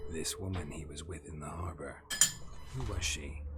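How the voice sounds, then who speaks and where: Loud background noise sits behind a man doing a put-on character voice. He talks at a moderate pace. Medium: game stream. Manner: terse, dry.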